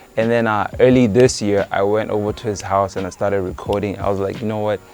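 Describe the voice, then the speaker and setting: Music plays in the background. The speech runs very fast with fairly even intonation. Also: man, fairly low pitch for a man. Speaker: rapper and producer. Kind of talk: casual interview chat.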